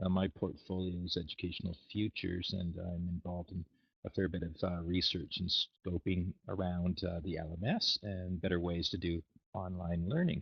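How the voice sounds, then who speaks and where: In a Canadian accent, a man with a very deep, low pitch speaks at a moderate pace in a flat monotone, sounding somewhat breathy. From Canada. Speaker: university educational futures lead. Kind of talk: webinar discussion. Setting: video call.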